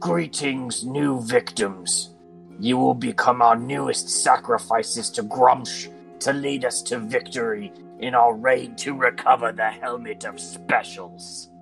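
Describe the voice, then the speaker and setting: Over clear music in the background, a man uses a raspy, put-on character voice at medium pitch and a fairly slow pace. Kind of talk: menacing, ceremonial. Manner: gruff.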